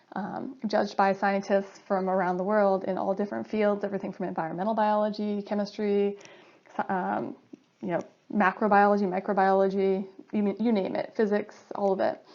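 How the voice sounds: A woman with an American accent speaks at a moderate pace and medium pitch. Her voice shows vocal fry and little pitch movement.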